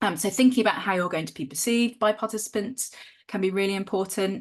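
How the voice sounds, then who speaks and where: A woman with a medium-pitched voice and ordinary pitch variation speaks against a quiet background. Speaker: academic research trainer. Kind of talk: training workshop lecture. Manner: fast.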